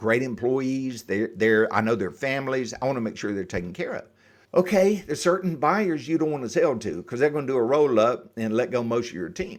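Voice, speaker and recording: A man with a medium pitch talks at a fairly quick pace with lively intonation, in a very clean recording with a silent background. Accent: slight Southern US. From US South, Atlanta Georgia area. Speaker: exit planning advisor. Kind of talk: podcast interview.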